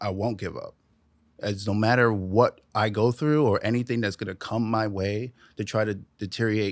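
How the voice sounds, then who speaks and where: In a New York accent, a man with a fairly low pitch talks at a moderate pace and fairly even intonation, the sound dry with no echo and the background quiet. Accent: New York (Bronx). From New York, the Bronx. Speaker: drummer; podcast guest. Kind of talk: casual interview chat. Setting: studio. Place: studio.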